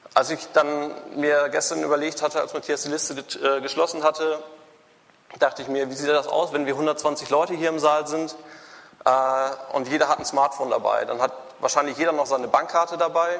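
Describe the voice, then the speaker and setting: A man's fairly high-pitched voice, monotone and flat, at a fairly quick pace with long, frequent pauses, over noticeable background noise. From Germany, Münster (Westphalia). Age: 20s. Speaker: computer scientist and startup founder. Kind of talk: conference talk. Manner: halting, many fillers and restarts.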